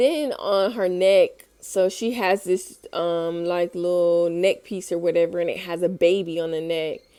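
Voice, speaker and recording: On a very clean recording with a silent background, a woman speaks fairly slowly with hardly any pauses, her voice fairly low in pitch and dark and mellow in tone. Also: ordinary pitch variation. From Tennessee. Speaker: vlogger. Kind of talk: casual monologue. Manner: rambling, hesitant.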